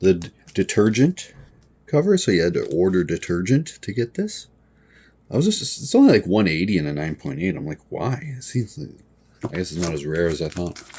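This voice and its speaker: A man's very deep, low voice with very wide pitch swings and a dark, mellow tone. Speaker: comic book collector and seller. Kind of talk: casual collection showcase video. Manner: casual, hesitant with fillers.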